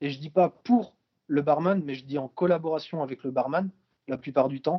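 A man's voice with fairly even intonation at a fairly slow pace. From Brittany, France. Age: 20s. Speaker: visually impaired traveler. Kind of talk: interview. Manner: hesitant, many fillers.

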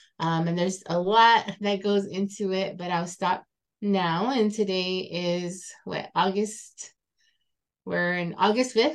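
Her voice sits at a medium pitch for a woman, and her intonation is fairly even. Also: fairly slow pace. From Tohono O'odham Nation, southern Arizona. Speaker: cultural activist and farm manager. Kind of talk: self-introduction interview. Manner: halting, many fillers.

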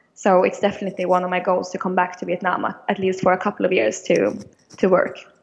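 Speaking very fast with vocal fry, a woman with a Swedish accent keeps a medium pitch and fairly even intonation. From Sweden, Stockholm. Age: 20s. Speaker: business student. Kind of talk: interview. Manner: halting.

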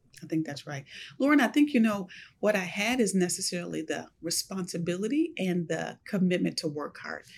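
A woman with an American accent talks at a fairly quick pace, her medium-pitched voice showing vocal fry and lively intonation. Her loudness swings widely on a very clean recording with a silent background. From US, Buffalo, New York. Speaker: university administrator. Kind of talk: interview.

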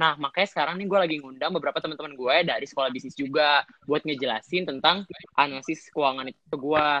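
Delivered at a very fast pace with hardly any pauses, the speech keeps fairly even intonation but shows big swings in loudness. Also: man, fairly high pitch for a man. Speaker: business student, MC. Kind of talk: casual student chat. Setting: phone call.

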